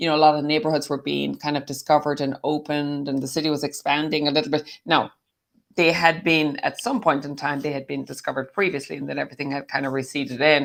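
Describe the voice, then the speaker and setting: A woman with an American accent talks at a very fast pace with vocal fry and a very deep, low pitch. Her intonation is fairly even, and the recording is very clean with a silent background. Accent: Irish with slight American twang. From Ireland, County Clare. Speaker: summit speaker, former bar owner. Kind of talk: casual interview.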